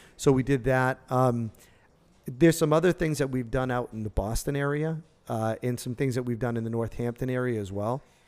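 A man with an American accent speaks fairly quickly in an unremarkable speaking voice of medium pitch, with ordinary pitch variation, on a very clean recording with a silent background. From Massachusetts, Worcester. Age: 40s. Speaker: cannabis entrepreneur. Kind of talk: casual interview.

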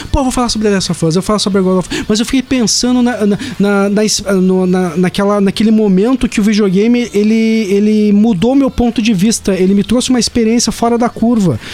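At a fairly quick pace, a man speaks with a high pitch for a man. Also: fairly even intonation. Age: 30s. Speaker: podcast co-host. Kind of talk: casual chat. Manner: halting.

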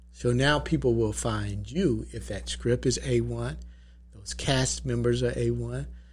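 With an Atlanta accent, a man speaks at a fairly slow pace. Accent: Southern US, Atlanta. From Atlanta, Georgia. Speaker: entrepreneur and documentary producer.

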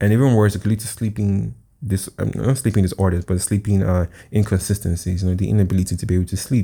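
A man's dark, mellow, fairly low voice, fairly quick with fairly even intonation, on a very clean recording with a silent background. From Nigeria. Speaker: podcast host. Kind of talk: solo podcast monologue.

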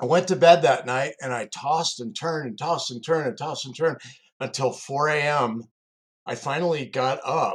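This man speaks in a plain, everyday voice at a fairly high pitch and a moderate pace, with ordinary pitch variation and big swings in loudness. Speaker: executive coach and security recruiter, co-host. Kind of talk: personal storytelling.

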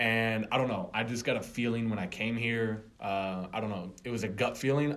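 Audible room echo surrounds this speaker. He is a man with a fairly low pitch and an American accent. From Florida, outside Tampa. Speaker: sports fan guest, former college football player. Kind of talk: casual chat.

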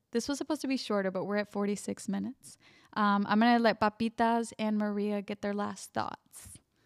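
A plain, everyday voice from a woman at medium pitch, fairly quick and fairly even in intonation, on a very clean recording with a silent background. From US, Mexican-American family. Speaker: podcast host. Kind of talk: casual chat.

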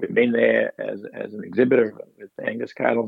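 A man talks with an Australian accent. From Queensland, Australia (Granite Belt). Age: 50s. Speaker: cattle vet. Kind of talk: interview. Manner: halting.

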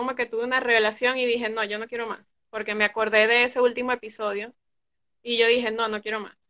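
Her voice sits fairly high. The speaker here is a woman. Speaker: recovering addict. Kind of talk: personal testimony. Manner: loud. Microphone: connection drops.

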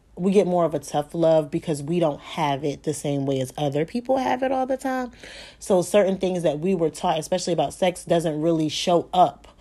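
A woman's fairly low voice, dark and mellow in tone, at a fairly quick pace with lively intonation. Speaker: podcast host and tantric massage therapist. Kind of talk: solo podcast monologue. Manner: fast.

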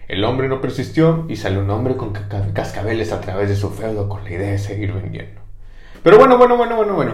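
A man with a Mexican accent at a fairly quick pace, big swings in loudness, with audible room echo and noticeable background noise. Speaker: history podcast host. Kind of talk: comedic history storytelling. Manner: animated.

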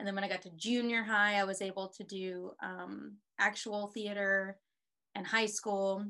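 Delivered at a moderate pace in an American accent, the voice has a bright, sharp tone, monotone, flat intonation and big swings in loudness. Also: woman, medium pitch for a woman. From Texas (Houston). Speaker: actress and filmmaker. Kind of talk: casual chat.

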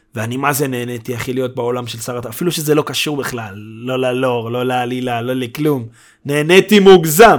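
With an animated tone, a man talks at a fairly quick pace and ordinary pitch variation. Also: medium pitch for a man. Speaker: podcast host. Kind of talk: casual chat. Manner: loud.

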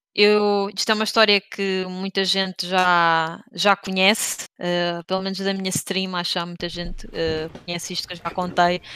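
The tone is bright and sharp, delivered at a very slow pace with monotone, flat intonation. The recording is very clean with a silent background. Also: woman. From Portugal, Leiria region. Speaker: streamer and video game industry marketer. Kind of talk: casual interview chat.

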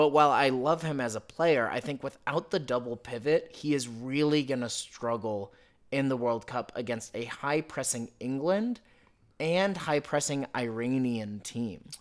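In a plain, everyday voice with an American accent, a man speaks at medium pitch and a fairly slow pace with ordinary pitch variation, recorded very cleanly against a silent background. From United States. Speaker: football podcast co-host. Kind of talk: casual chat.

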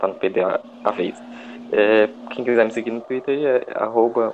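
Noticeable noise fills the background. The words come very slowly. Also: man. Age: 20s. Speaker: football fan podcast panelist. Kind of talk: casual chat.

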